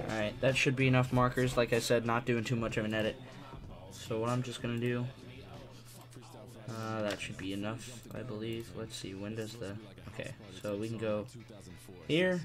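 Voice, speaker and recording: Speech at a moderate pace with fairly even intonation and long, frequent pauses, over music in the background. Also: man, medium pitch for a man. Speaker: video editing tutorial maker. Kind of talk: tutorial. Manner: quiet, not talking loud.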